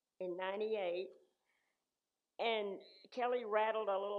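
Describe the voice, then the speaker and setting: The speaker has a West Texas accent. Intonation stays fairly even. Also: woman. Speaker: church member sharing life story. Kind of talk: personal storytelling. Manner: halting.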